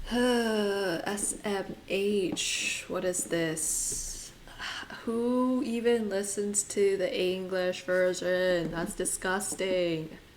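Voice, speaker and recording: At a very slow pace and with ordinary pitch variation, the speaker talks in a Californian accent, with audible room echo and noticeable background noise. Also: woman, medium pitch for a woman. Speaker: art and gaming streamer. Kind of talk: casual live-stream chat. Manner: casual.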